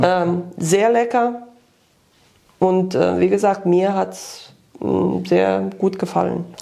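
Loudness rises and falls sharply in this very slow delivery, broken by long, frequent pauses. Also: woman. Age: 50s. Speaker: nutrition coaching client. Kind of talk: testimonial interview. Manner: halting, many fillers.

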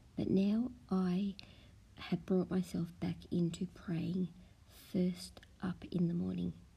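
A woman speaks very slowly in a dark, mellow tone that is somewhat breathy. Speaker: prayer host. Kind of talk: fervent spoken prayer, devotional and intimate. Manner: earnest, heartfelt; slow, reverent, measured.

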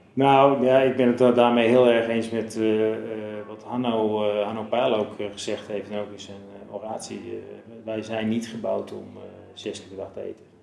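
Amid noticeable background noise and audible room echo, a man speaks at a moderate pace in a monotone, flat intonation, with big swings in loudness. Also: medium pitch for a man. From Zeeland, Netherlands. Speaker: physiologist. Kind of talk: interview. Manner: halting.

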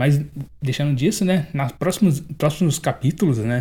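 Somewhat breathy and fairly high in pitch, a man speaks at a moderate pace. His pitch varies an ordinary amount. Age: 20s. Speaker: podcast host reviewing manga. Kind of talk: solo review monologue. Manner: casual, hesitant with fillers.

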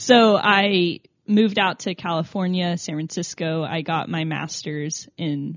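Spoken in an American accent with fairly even intonation, this is an unremarkable speaking voice. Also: woman. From Tennessee, US South. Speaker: app founder. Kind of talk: interview.

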